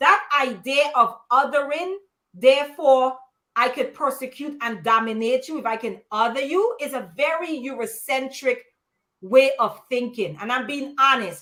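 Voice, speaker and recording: A woman speaks with a high pitch and a bright, sharp tone. Her pace is fairly slow. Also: ordinary pitch variation, big swings in loudness. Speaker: panelist. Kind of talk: live panel discussion. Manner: frank, emphatic.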